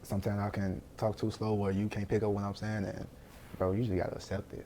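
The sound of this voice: A man talks fast at a fairly low pitch, his dark, mellow tone showing little pitch movement.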